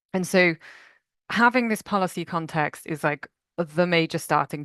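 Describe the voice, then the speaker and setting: A woman with an ordinary speaking voice, fairly low-pitched and fairly slow, dry and close with no echo against a quiet background. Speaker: nature finance professional at a national park. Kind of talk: conference presentation.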